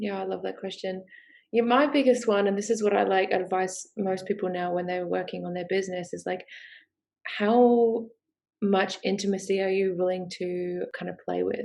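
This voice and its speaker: A woman with a strong Australian accent speaks at a moderate pace and medium pitch with fairly even intonation. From UK. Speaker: sex coach and business founder. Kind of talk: podcast interview. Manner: hesitant with many fillers.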